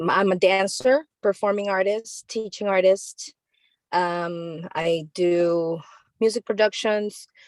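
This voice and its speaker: Speaking very slowly with a Spanish accent, a woman keeps a medium pitch and ordinary pitch variation. The sound is dry and close, with no echo. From Nicaragua. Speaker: dancer and teaching artist. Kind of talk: self-introduction in group session.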